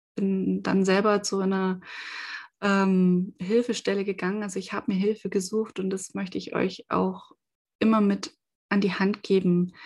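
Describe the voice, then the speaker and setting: Against a quiet background, a woman at a medium pitch speaks at a moderate pace, somewhat breathy and in a monotone, flat intonation. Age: 30s. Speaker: podcaster. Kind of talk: personal testimony. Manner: hesitant, with many fillers.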